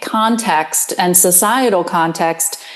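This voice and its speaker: Over noticeable background noise, a woman with an American accent speaks very slowly at a medium pitch. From Pennsylvania. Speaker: public health professor. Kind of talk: interview. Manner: halting, many ums.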